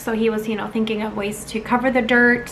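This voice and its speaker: In a space with audible room echo and noticeable background noise, a woman speaks at a fairly high pitch and a moderate pace. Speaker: vlogger. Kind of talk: vlog talk to camera.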